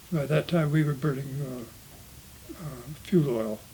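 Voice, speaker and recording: A man with a Montana accent speaks with ordinary pitch variation. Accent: rural Montana American English. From Montana, USA. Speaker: homesteading family descendant. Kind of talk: interview answer.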